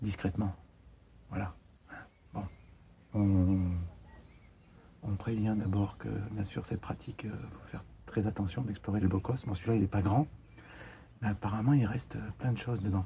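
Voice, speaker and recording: A soft-spoken man talks at a moderate pace with a fairly low pitch and fairly even intonation. Long, frequent pauses break his speech, with noticeable background noise behind him. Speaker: urban explorer, video creator. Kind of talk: guided exploration commentary. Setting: inside a bunker. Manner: soft-spoken, hushed; hesitant, many fillers.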